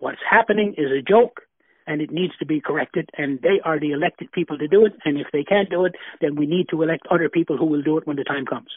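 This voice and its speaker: Someone with a Newfoundland accent speaks at a very fast pace with ordinary pitch variation. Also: man, fairly high pitch for a man. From Newfoundland, Flat Bay. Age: 70s. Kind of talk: interview. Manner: halting.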